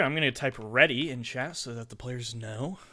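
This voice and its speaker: A man speaks loudly with ordinary pitch variation. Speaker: tournament commentator and streamer. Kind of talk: live commentary.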